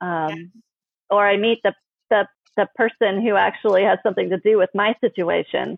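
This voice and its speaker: A woman at a medium pitch and fairly quick pace, broken by long, frequent pauses. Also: fairly even intonation. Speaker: palm reader and author. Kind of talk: casual interview chat. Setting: video call.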